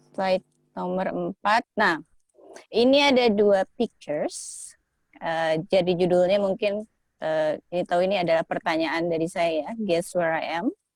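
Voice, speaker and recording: A woman with a plain, everyday voice speaks fairly slowly at a medium pitch with ordinary pitch variation, in a dry, close sound with no echo. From Indonesia. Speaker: guest speaker. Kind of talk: online presentation. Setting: video call.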